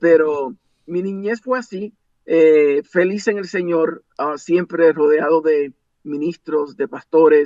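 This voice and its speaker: Speech unfolds very slowly. The pitch varies in an ordinary way. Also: man. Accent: English. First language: English (speaking Spanish). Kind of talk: interview.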